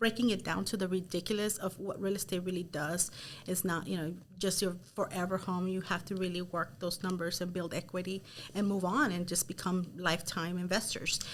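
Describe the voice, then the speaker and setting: At a fairly quick pace, a woman in a Spanish accent speaks at medium pitch with fairly even intonation. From Los Angeles, South Gate. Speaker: real estate team leader. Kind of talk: interview.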